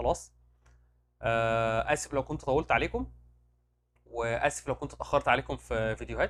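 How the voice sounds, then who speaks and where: A loud man with an Egyptian accent and long, frequent pauses. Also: moderate pace. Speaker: medical rep career advisor, YouTuber. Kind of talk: casual Q&A monologue. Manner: animated.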